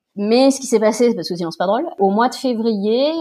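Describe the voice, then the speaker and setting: At a moderate pace, a woman talks in a dark, mellow tone with ordinary pitch variation. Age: 30s. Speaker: guest sharing fertility treatment and work experience. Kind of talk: casual interview chat.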